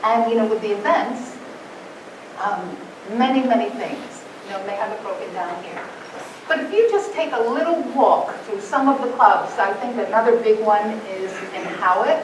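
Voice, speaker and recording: A woman speaks at a moderate pace with lively intonation and big swings in loudness. The room echo is audible, and background noise is noticeable. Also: fairly high pitch for a woman. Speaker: conference speaker. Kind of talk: conference presentation.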